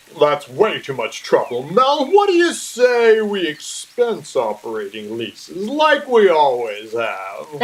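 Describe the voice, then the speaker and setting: Putting on a character voice, a man speaks at a fairly slow pace in a high pitch. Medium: stage play. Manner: brash, scornful.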